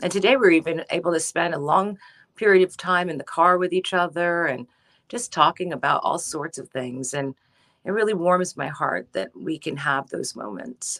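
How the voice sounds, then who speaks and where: In a normal speaking voice, a woman with an American accent talks at a moderate pace and a fairly low pitch with ordinary pitch variation. The sound is dry and close with no echo. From United States. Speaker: TV news anchor. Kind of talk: interview.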